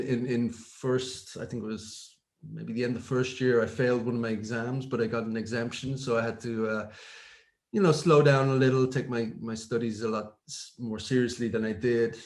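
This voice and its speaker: A man speaks with a Dublin accent at a moderate pace. His intonation stays fairly even, and the room echo is audible. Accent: Dublin Irish. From Ireland, North Dublin (Finglas). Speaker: technology executive. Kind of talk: interview. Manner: hesitant, many fillers.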